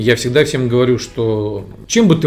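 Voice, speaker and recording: A man speaks at medium pitch with ordinary pitch variation. There is noticeable background noise. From Moscow, Russia. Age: 30s. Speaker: tech company CEO. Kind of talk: interview.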